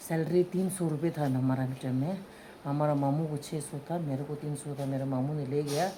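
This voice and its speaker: A woman with a Tibetan accent speaks at a moderate pace in a very deep, low voice, her dark, mellow tone somewhat breathy and her intonation fairly even, with audible room echo around her. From Tibetan community in India. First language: Tibetan (speaking Hindi). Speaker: mother telling her love story. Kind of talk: casual chat, personal storytelling.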